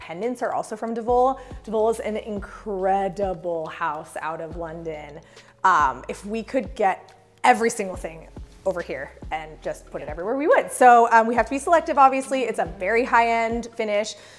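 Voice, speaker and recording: A woman speaks at a moderate pace with big swings in loudness. Faint music plays in the background. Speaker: interior design company host. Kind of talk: house tour commentary. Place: kitchen.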